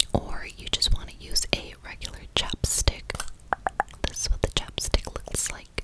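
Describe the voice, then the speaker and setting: A woman whispers in a soft-spoken way. Her pace is fairly slow. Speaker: makeup roleplay host. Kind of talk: soft roleplay chat to viewer. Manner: soft close-mic ASMR whisper. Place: home room. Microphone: studio mic.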